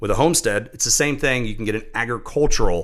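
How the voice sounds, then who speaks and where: Lively in intonation, a man with an American accent speaks at medium pitch in a bright, sharp tone. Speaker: real estate agent. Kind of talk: casual chat.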